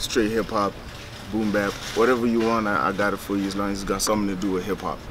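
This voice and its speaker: A man speaks very fast in a fairly low, monotone, flat voice, with audible room echo and noticeable background noise. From Botswana, Francistown. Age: 20s. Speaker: rapper. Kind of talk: casual interview.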